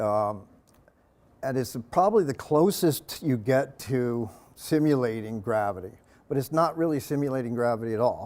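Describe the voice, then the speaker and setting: A man with an American accent talks at medium pitch with ordinary pitch variation. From Long Island, New York. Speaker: engineer and diver giving a public lecture. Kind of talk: lecture. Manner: fast; casual, with many fillers.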